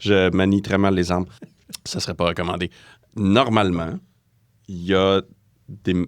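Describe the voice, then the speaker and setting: A fairly slow delivery with long, frequent pauses and fairly even intonation. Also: man, very deep, low pitch for a man. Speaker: forensic accountant and lecturer. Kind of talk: interview.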